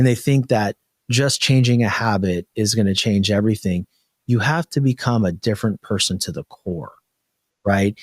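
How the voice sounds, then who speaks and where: On a very clean recording with a silent background and a dry, close sound with no echo, a man with a plain, everyday voice speaks at a moderate pace and fairly low pitch with ordinary pitch variation. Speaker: podcast host, mindset coach. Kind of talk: podcast interview question.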